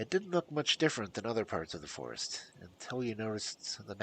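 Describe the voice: Plain reading aloud carries a lively rise and fall in intonation.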